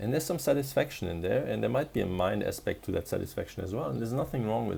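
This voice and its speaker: A man speaks with a non-native accent. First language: not English. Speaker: spiritual coach. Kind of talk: casual monologue vlog. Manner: halting with frequent restarts.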